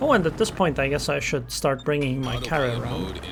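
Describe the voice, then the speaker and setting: The voice moves at a moderate pace with music playing in the background. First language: Estonian. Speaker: gaming commentator. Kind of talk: gameplay commentary. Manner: casual, thinking aloud.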